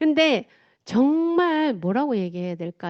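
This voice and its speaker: Speaking in a strong Gyeongsang accent, a woman talks at a fairly slow pace with very wide pitch swings. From South Gyeongsang, Korea (Changnyeong). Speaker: motivational speaker. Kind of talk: talk with slides to an audience. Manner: casual.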